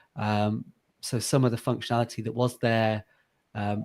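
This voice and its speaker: With an English accent, the speaker keeps a moderate pace and fairly even intonation. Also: man. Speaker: software founder. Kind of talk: interview. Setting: home office video call. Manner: hesitant, many fillers.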